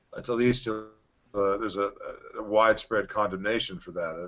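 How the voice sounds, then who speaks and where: A man's fairly low voice, fairly quick in pace, with fairly even intonation. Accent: American. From United States. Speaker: libertarian expat and former congressional candidate. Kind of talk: interview monologue. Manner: halting, many fillers and repetitions.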